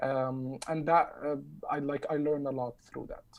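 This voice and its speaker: A man with an Arabic accent speaks in a dark, mellow tone with fairly even intonation. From southern Egypt. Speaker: community activist. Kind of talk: roundtable discussion. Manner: halting, many fillers.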